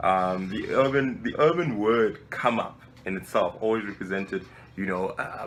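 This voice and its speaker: The speaker has a South African accent and ordinary pitch variation. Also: man. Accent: South African, surprising for a Nigerian. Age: 20s. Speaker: civil engineer and web show founder. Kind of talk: interview answering questions. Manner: relaxed, casual.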